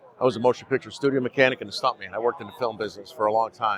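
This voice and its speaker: A man speaks with an American accent at a medium pitch. Noticeable background noise runs under his voice. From Chicago, Illinois. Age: 60s. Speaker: activist. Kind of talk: podcast interview. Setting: live event. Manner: animated.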